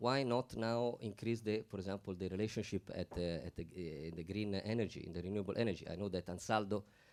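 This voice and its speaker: This man speaks in an Italian accent with fairly even intonation. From Italy. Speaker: panel speaker. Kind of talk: panel discussion. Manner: halting.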